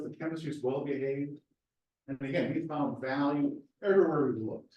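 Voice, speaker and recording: Audible room echo surrounds a man's voice. He talks at a fairly quick pace and fairly high pitch. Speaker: research scientist, seminar speaker. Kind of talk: lecture; Q&A answer. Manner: fast.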